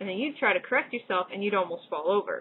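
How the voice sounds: A woman with an American accent speaks fast, her lively intonation carrying a slightly husky edge. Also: medium pitch for a woman.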